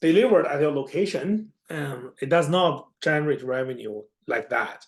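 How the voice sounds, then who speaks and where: Someone speaks at a moderate pace with a non-native accent. The background is quiet. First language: not English. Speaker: accounting instructor. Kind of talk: lecture.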